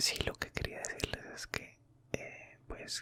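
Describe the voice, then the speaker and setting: Noticeable background noise sits behind a man who is whispering. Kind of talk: ASMR storytime. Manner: soft-spoken, whispered.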